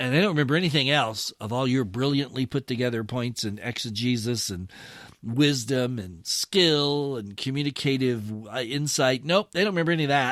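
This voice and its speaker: In a very clean recording with a silent background, a man uses a normal speaking voice at medium pitch, keeping a moderate pace and ordinary pitch variation. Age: 60s. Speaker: pastor and podcast host. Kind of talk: podcast commentary reading an article. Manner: conversational, with fillers and restarts.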